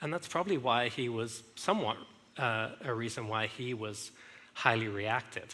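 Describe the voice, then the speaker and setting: A man with an English accent at medium pitch, moderate pace and ordinary pitch variation. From England. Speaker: speaker sharing marriage story. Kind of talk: testimony. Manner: halting.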